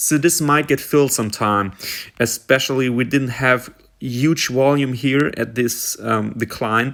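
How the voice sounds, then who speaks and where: With a German accent, a man speaks at medium pitch and a fairly slow pace with fairly even intonation, on a very clean recording with a silent background. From Germany. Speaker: stock market commentator. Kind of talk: tutorial. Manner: halting, many fillers.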